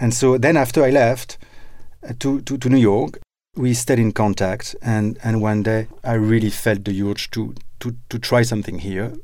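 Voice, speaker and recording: Fairly even intonation and a moderate pace from a man with a dark, mellow tone. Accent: French. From France. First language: French. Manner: halting, hesitant.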